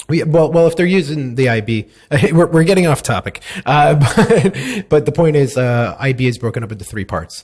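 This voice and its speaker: A man with an American accent speaks at a moderate pace in a somewhat breathy, fairly high voice with lively intonation. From United States. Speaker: podcast host. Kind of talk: casual interview chat.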